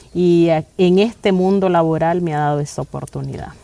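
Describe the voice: With vocal fry and a dark, mellow tone, a woman speaks at a moderate pace in a fairly low pitch with ordinary pitch variation.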